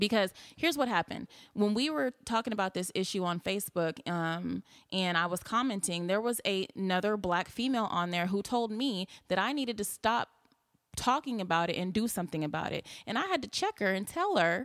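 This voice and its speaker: In a very clean recording with a silent background and a dry, close sound with no echo, a woman speaks in an animated tone at a medium pitch, with ordinary pitch variation and a fairly quick pace. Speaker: nightlife patron. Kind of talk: casual debate. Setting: studio.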